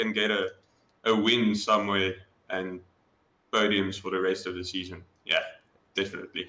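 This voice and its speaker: A man's bright, sharp tone in a South African accent. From South Africa, Johannesburg. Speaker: sim racing driver. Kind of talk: interview. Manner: casual, hesitant.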